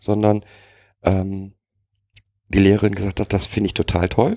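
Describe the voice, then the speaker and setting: A man talks at a moderate pace in a fairly low voice. The sound is dry and close, with no echo. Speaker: co-host. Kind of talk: casual chat.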